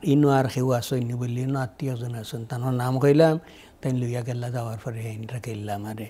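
Somewhat breathy, a man's dark, mellow voice keeps a fairly even intonation. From Sylhet, Bangladesh (Biswanath); Sylhet, Bangladesh. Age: 80s+. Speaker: community elder and social worker; guest. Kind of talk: interview, life story. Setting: studio. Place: studio. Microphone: lapel.

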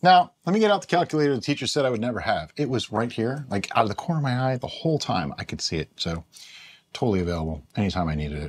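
This man speaks at a very fast pace. Very wide swings mark his pitch. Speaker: home brewing video host. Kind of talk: casual tutorial. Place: home room.

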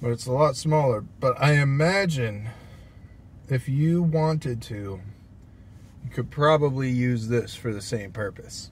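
Light background noise sits behind a somewhat breathy man. He talks at a fairly slow pace with long, frequent pauses. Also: ordinary pitch variation, dry sound with no echo. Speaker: food reviewer. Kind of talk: casual vlog chat. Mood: relaxed, chatty. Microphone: phone near.

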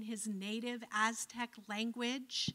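With an American accent, a woman speaks in a high, bright, sharp voice against a quiet background. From Cleveland, Ohio, US; Ohio. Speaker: professor of religious studies; guest lecturer. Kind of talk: lecture. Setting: lecture hall with audience. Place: hall. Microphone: handheld.

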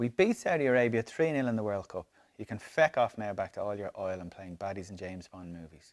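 The pace from this man is very fast. He uses lively intonation. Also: fairly low pitch for a man, quiet background. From Ireland. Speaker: reader of a comic diary. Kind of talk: dramatic diary reading. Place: home room.

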